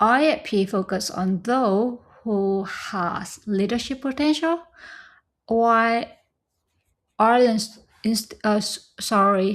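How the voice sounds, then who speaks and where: In a Vietnamese accent, a woman speaks at a very slow pace and fairly high pitch, with ordinary pitch variation and long, frequent pauses. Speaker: scholarship recipient. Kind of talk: casual tutorial talk to camera.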